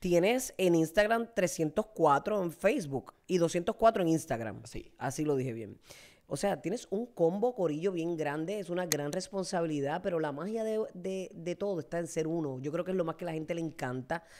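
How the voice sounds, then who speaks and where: Her tone is animated and her intonation lively. The woman keeps a moderate pace with hardly any pauses. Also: fairly low pitch for a woman, quiet background. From Puerto Rico, Fajardo; Puerto Rico. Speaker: talk show host. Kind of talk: interview. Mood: warm, empathetic. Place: studio. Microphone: studio mic.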